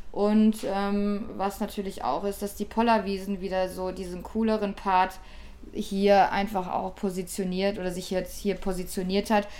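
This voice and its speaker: A woman's medium-pitched, dark, mellow voice, flat and monotone, at a fairly slow pace. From Ruhr area, Germany. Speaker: DJ, producer and record label owner. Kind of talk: interview.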